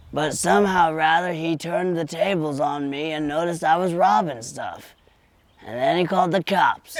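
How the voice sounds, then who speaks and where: A man uses a put-on character voice. It sits high in pitch and moves at a moderate pace. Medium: audio drama. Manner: rambling, folksy.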